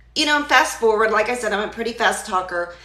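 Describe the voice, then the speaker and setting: A woman speaks at a fairly high pitch. There is audible room echo and noticeable background noise. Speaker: digital marketer and healthcare worker. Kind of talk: live stream talk. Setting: live social media video. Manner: stutters at times.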